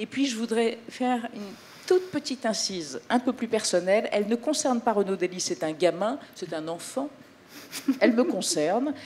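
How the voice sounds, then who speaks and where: Fairly high female speech with very wide pitch swings, a moderate pace and noticeable background noise behind it. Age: 60s. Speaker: TV presenter. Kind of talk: press conference presentation. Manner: animated.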